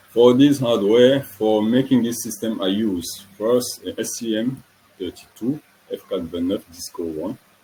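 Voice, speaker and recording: This man talks at a fairly slow pace with a French accent. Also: medium pitch for a man, ordinary pitch variation. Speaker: student engineer presenting a project. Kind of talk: technical presentation. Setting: online webinar. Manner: halting, self-correcting.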